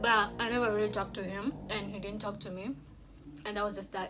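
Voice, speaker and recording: With audible room echo around her, a woman talks at a medium pitch with fairly even intonation. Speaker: YouTuber. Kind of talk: mukbang storytime. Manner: loud.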